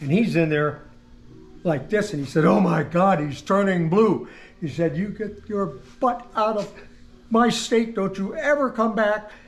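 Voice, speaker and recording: The speech has lively intonation and a fairly slow pace. Room echo is audible. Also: man, high pitch for a man. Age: 80s+. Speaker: car collector and builder. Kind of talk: casual interview, storytelling.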